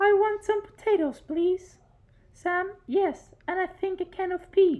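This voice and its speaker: A woman does a squeaky put-on character voice at an extremely high pitch, moving at a fairly slow pace with fairly even intonation. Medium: audio drama.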